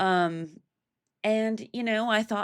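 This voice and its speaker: On a very clean recording with a silent background, a woman with an American accent speaks at a fairly high pitch with ordinary pitch variation. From Oregon, US. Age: 20s. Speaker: gaming streamer. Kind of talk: casual chat while gaming. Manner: casual, rambling with fillers.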